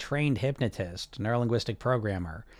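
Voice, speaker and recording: A man speaks with an American accent in a plain, everyday voice at medium pitch. His pace is fairly quick, and the recording is very clean with a silent background. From US. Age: 40s. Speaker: weight loss coach and podcast host. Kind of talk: live-streamed chat with viewer comments.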